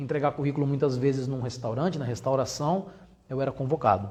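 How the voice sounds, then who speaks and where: A man with a Brazilian accent speaks at a fairly high pitch, with audible room echo. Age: 40s. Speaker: entrepreneur. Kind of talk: lecture.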